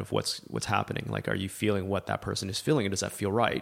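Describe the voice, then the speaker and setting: The speaker has a Canadian accent and vocal fry, talking at a very fast pace. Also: man. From Canada (Libya expat childhood, then Alberta). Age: 40s. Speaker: filmmaker, former investment banker. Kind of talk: casual interview. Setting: in person, host's home office.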